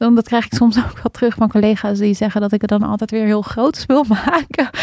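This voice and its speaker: Talking at a moderate pace, a woman with a fairly high pitch has a dark, mellow tone and fairly even intonation. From Netherlands, Amstelveen near Amsterdam. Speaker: facilitator and spoken word poet. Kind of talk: casual interview.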